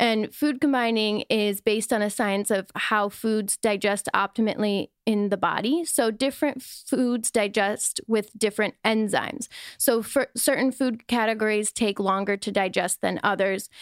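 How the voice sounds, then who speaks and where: In an American accent, a woman with an ordinary speaking voice and fairly high pitch talks at a fairly slow pace with very even loudness and fairly even intonation, on a very clean, dry, close recording with no echo and a silent background. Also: hardly any pauses. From US Midwest, Wisconsin. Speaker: wellness influencer. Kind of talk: casual chat.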